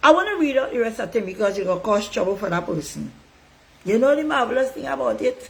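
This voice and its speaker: The delivery is animated and very fast, with very wide pitch swings. Noticeable background noise is present. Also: woman, fairly high pitch for a woman. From Tobago. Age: 60s. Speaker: political commentator. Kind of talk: online monologue.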